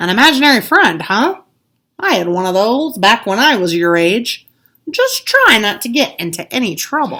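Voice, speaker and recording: A woman puts on a character voice with a fairly high pitch and very wide pitch swings. Her pace is moderate. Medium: read story.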